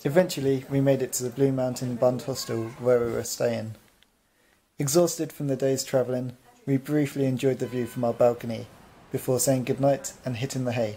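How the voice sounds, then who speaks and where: Over light background noise, a man talks at a fairly quick pace in a monotone, flat intonation. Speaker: travel vlog narrator. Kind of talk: travel narration voice-over.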